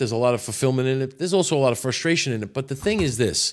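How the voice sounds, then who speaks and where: This man has a New York accent, a medium pitch and lively intonation. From New York City. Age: 60s. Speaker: podcast guest, former auto repair business owner. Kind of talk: casual chat.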